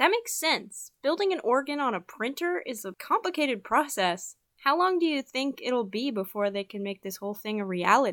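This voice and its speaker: Pitch swinging very widely, a woman talks fairly quickly at a high pitch with hardly any pauses, in a dry, close sound with no echo on a very clean recording with a silent background. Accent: American. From Utah. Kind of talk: scripted student podcast conversation.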